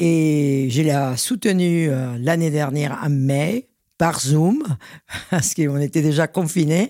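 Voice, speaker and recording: The very clean recording has a silent background, and the words come out at a very slow speed. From Venezuela. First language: Spanish (speaking French). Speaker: champagne house president. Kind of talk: interview.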